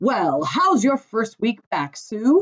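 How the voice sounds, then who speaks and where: A woman puts on a character voice with very wide pitch swings. Her pitch is high. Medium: read story.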